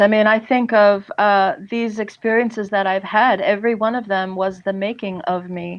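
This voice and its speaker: A woman with an American accent talks at a moderate pace in an ordinary speaking voice, fairly high in pitch with ordinary pitch variation. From US East Coast, New Jersey. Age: 50s. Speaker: empowerment coach. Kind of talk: podcast interview.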